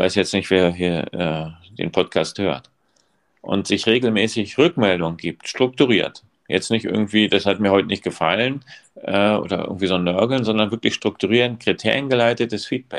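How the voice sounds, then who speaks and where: A man with a plain, everyday voice, a fairly low pitch and ordinary pitch variation, at a moderate pace over a quiet background. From East Germany. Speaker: school principal. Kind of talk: casual chat.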